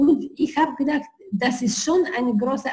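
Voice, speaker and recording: This woman speaks with a non-native accent at a fairly slow pace. Her voice is high-pitched. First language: not German (speaking German). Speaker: entrepreneur. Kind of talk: interview. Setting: video call.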